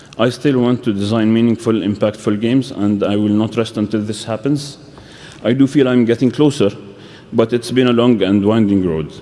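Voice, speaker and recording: Noise is clearly present as the man talks in a mid-range pitch, his intonation largely flat. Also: moderate pace. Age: 30s. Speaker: game publisher. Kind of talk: conference talk. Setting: stage with audience. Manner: halting, with fillers and restarts.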